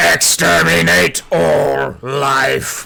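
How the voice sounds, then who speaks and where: A man uses a put-on character voice. It is raspy and very deep and low. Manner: menacing, shouting.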